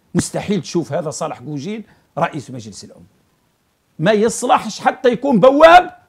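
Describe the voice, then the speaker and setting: A high-pitched man with an Algerian accent speaks at a moderate pace, his pitch swinging very widely and his loudness shifting a lot. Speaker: political commentator. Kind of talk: political commentary monologue. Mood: critical, sarcastic. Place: studio.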